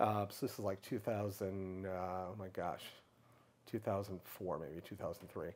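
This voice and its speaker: The speaker is a man. His accent is American. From US Midwest, Michigan. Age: 60s. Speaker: public speaker on LGBTQ issues. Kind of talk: interview. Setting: in person. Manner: halting. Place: home room. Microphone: lapel.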